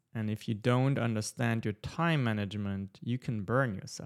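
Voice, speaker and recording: Speaking at a fairly slow pace with a non-native accent, a man of medium pitch comes across in a dry, close sound with no echo. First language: not English. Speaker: entrepreneur and podcast host. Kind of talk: live audio-room talk with audience Q&A. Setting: live online audio room with listeners.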